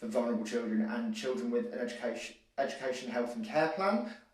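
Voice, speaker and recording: Very fast and with lively intonation, a man talks in a room with audible echo. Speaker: livestream show host. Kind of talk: live show commentary. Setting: home hallway, live stream. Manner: loud.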